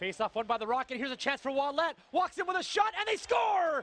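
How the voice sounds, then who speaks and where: A man's raised, projected voice, animated in tone and lively in intonation, with a dry, close sound free of echo and noticeable background noise. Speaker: play-by-play announcer. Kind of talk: live sports commentary, play-by-play of a hockey game. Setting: arena broadcast, highlight package. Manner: animated, excitable, rapid-fire calls that swell on goals; conversational and upbeat, with quips.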